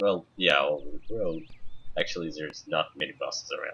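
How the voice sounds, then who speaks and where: This is a man speaking. He has a Russian accent. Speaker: gamer. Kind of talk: gameplay commentary, reading game text aloud. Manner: halting.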